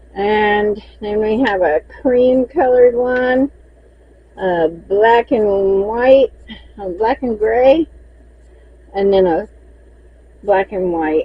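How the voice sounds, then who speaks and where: In a Southern US accent, a woman with a fairly high pitch and ordinary pitch variation speaks at a very slow pace in a relaxed tone, with long, frequent pauses. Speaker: crochet maker and seller. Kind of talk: casual inventory walkthrough. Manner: chatty, relaxed.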